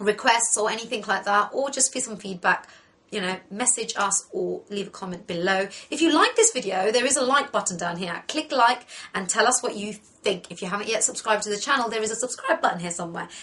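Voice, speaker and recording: A woman speaks at a medium pitch. Her pitch varies in an ordinary way. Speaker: makeup tutorial host. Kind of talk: tutorial. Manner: fast.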